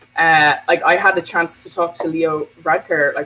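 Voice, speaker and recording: A woman speaks with an Irish accent at a fairly slow pace. Her pitch is fairly low. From Bray, County Wicklow, Ireland. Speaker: teacher and anti-racism activist. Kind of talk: casual talk to camera.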